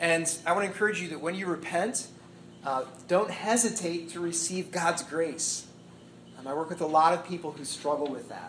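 A voice with an American accent speaks at a moderate pace with ordinary pitch variation and big swings in loudness. There is audible room echo and noticeable background noise. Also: man, high pitch for a man. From US Midwest (Indiana). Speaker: pastor. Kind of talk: sermon. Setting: church talk to young adult group.

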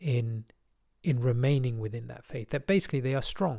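This man has a medium-pitched, somewhat breathy voice with a dark, mellow tone. He talks at a fairly quick pace in a very clean recording with a silent background. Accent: British. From England. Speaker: podcast host. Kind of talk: personal monologue.

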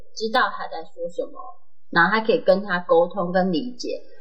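A female speaker, fairly quick in pace, with noticeable noise behind her. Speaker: podcast co-host, veterinarian. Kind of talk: casual chat. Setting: studio. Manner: shaky voice.

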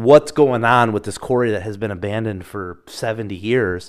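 A man with an Upper Midwest accent speaks at a moderate pace. His pitch is medium, with ordinary variation. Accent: Upper Midwest American (Michigan). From Michigan. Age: 30s. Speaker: podcast host. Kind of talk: solo personal storytelling.

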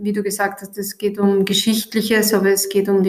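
A woman's voice in the middle of her range, flat and monotone throughout. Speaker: teacher and podcast host. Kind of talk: school podcast interview. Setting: recorded in the evening.

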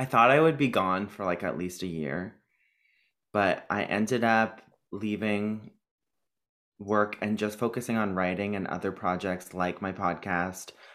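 On a very clean recording with a silent background, a man with a fairly low pitch and ordinary pitch variation speaks at a fairly slow pace, leaving long, frequent pauses. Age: 20s. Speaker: comedian and producer. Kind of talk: casual chat.

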